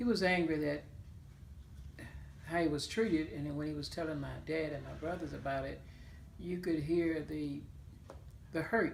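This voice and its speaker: A woman with a Mississippi accent speaks at a moderate pace with long, frequent pauses, and the room echo is audible. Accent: Southern US (Mississippi). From US South, Claiborne County, Mississippi. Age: 70s. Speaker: oral history interviewee. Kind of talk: interview. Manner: hesitant, with fillers.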